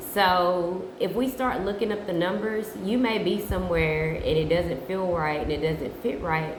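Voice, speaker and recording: A woman speaks at a moderate pace and a fairly low pitch, with ordinary pitch variation. Noticeable background noise and audible room echo surround her voice. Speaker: tarot reader. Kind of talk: casual chat.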